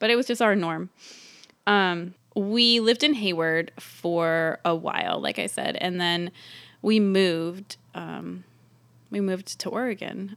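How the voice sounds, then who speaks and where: A woman talks in a plain, everyday voice with an American accent. Her pitch varies in an ordinary way. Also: medium pitch for a woman. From US West Coast, San Francisco East Bay. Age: 30s. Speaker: mother sharing personal story. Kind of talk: personal testimony.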